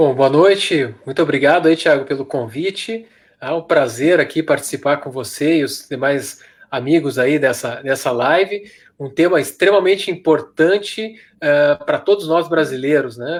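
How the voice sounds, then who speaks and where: At a fairly slow pace, a man speaks with fairly high pitch and ordinary pitch variation in a plain, everyday voice. The recording is very clean, with a silent background. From Rio Grande do Sul, Brazil. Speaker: doctor and mayoral pre-candidate. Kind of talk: panel discussion on live stream.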